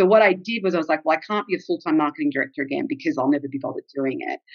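Delivered at a very fast pace with very wide pitch swings, this voice has an Australian accent. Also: woman. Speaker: travel blogger. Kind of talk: casual interview chat.

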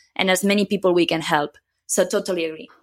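A woman's voice with a Catalan accent and ordinary pitch variation, in a very clean recording with a silent background. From Catalonia, Spain (near Barcelona). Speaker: software consultant. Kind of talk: interview.

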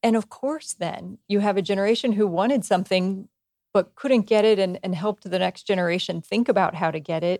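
Using a plain, everyday voice, a woman speaks at a medium pitch and a moderate pace with ordinary pitch variation, in a dry, close sound with no echo. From small-town US. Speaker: HR executive. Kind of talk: interview. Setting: in person at company headquarters.

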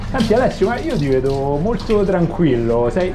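A man speaks at a moderate pace with very wide swings in pitch. The room echo is audible, and background noise is noticeable. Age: 40s. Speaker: podcast host. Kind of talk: casual interview. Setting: pizzeria kitchen. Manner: animated.

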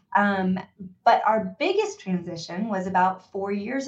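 The pace is fairly slow. A somewhat breathy woman is talking. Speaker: company founder and CEO. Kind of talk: interview, casual business chat. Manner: animated, energetic.

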